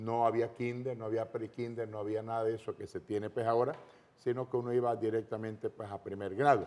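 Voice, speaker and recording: The speaker is a man with a medium-pitched voice. His pace is fairly quick. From Panama, Los Santos province. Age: 60s. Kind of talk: testimony interview.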